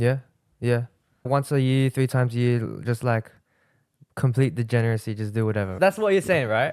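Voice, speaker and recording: At a fairly quick pace but with long, frequent pauses, a man talks at a medium pitch with ordinary pitch variation, on a very clean recording with a silent background and a dry, close sound with no echo. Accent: Australian. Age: 19. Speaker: social media marketing entrepreneur. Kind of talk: casual podcast interview.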